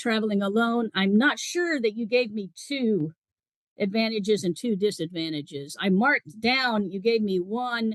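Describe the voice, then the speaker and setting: A woman speaks in a normal speaking voice, fairly high in pitch, with lively intonation at a moderate pace. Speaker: former IELTS examiner and teacher. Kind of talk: spoken exam feedback.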